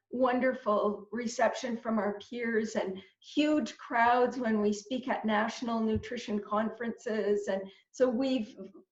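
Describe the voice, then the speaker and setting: A woman with a Canadian accent, fairly high pitch, a very slow pace and fairly even intonation. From Canada, Northern Ontario. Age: 60s. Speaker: dietitian. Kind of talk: interview. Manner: halting, many repetitions.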